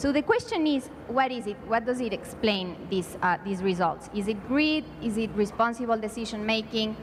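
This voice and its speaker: The speaker has a Spanish accent and talks at a moderate pace with hardly any pauses. Pitch variation is ordinary, and there is noticeable background noise. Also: woman, fairly high pitch for a woman. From Mexico. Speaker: education policy panelist. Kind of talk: conference panel presentation. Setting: conference panel. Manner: hesitant, many fillers.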